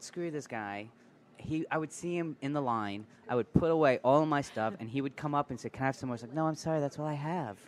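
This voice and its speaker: Fairly high-pitched, a man rattles along at a very fast pace with an American accent. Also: ordinary pitch variation. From New York. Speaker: chef and restaurant co-owner. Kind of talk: casual chat. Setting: restaurant.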